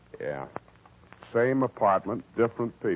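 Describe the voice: A man's put-on character voice, fairly low and fairly slow, with big pitch swings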